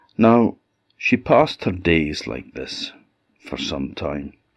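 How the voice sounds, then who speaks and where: Against a quiet background, a man speaks at a very slow pace in an Orcadian accent. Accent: Orcadian Scottish. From Orkney, Scotland. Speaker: storyteller. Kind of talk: folk tale storytelling.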